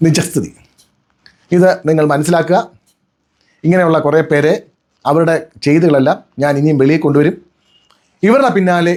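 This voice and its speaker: Ordinary pitch variation in a man's fairly high voice, a normal speaking voice. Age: 50s. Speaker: lawyer. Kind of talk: personal video statement.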